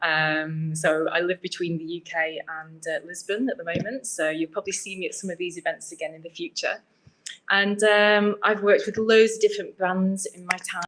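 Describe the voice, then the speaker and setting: A woman with a British accent, medium in pitch, moderate in pace, with ordinary pitch variation and big swings in loudness. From UK. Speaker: UX researcher. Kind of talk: presentation. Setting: meetup event with audience.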